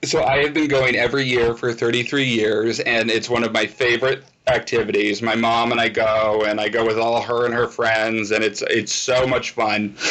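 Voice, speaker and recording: The speaker talks at a moderate pace with hardly any pauses and very even loudness. Intonation stays monotone and flat against noticeable background noise. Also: man, medium pitch for a man. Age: 30s. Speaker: video host. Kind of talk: interview.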